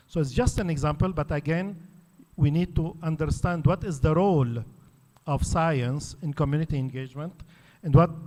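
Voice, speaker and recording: Talking with an Arabic accent, a man keeps a moderate pace and ordinary pitch variation. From Lebanon. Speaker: academic panelist. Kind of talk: conference talk.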